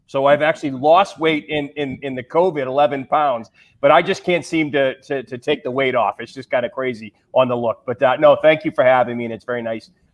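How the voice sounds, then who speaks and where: Fairly quick delivery in a Massachusetts accent, with ordinary pitch variation and big swings in loudness. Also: man, fairly high pitch for a man. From Massachusetts, US. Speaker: pharma sales executive. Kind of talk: panel discussion.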